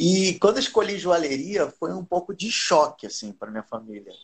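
Somewhat breathy, a man's voice moves at a moderate pace with lively intonation. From Rio de Janeiro, Brazil. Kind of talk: casual live-stream interview.

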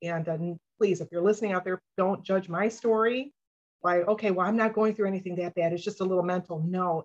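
Here is a woman with a plain, everyday voice. She talks fairly quickly at a medium pitch, keeping her intonation fairly even. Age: 50s. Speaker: abuse survivor advocate. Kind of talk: interview testimony.

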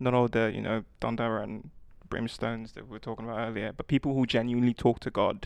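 This man has an unremarkable speaking voice of medium pitch and talks at a fairly quick pace. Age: 20s. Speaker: tech worker. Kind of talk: casual chat.

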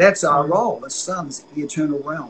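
Over noticeable background noise, a man with an Australian accent talks at a fairly quick pace in a fairly high voice. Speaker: itinerant prophetic minister and author. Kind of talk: interview about faith and dream interpretation. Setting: video call from home, construction noise outside.

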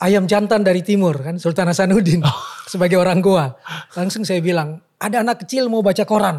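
A high-pitched man at a fairly quick pace, with ordinary pitch variation. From Makassar, South Sulawesi, Indonesia. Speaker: writer and literacy activist. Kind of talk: casual interview.

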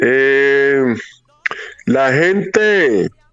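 Amid noticeable background noise, a man speaks with lively intonation. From Colombia, Chocó (Quibdó). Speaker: salsa composer and bandleader. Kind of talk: interview.

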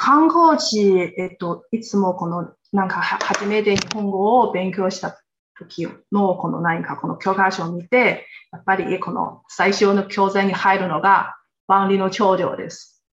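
A woman speaks in a Chinese accent, her loudness swinging widely. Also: medium pitch for a woman, ordinary pitch variation. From China, Xinjiang. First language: Chinese (speaking Japanese). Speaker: guest. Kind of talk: casual chat. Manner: halting.

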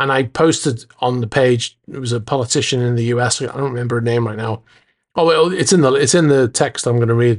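Over a quiet background, a man with an American accent talks at a medium pitch and a fairly quick pace, with ordinary pitch variation. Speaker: podcast host. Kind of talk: casual solo podcast.

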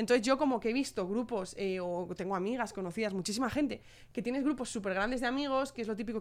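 A woman's fairly high voice at a very fast pace with hardly any pauses and ordinary pitch variation, in a very clean recording with a silent background. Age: 20s. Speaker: youth council president, co-host. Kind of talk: casual chat.

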